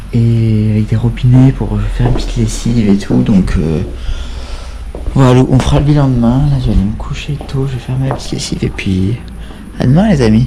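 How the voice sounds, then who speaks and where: At a fairly quick pace, a man speaks with long, frequent pauses. Room echo is audible, along with noticeable background noise. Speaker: bikepacking vlogger. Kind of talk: video diary. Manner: quiet, speaking softly.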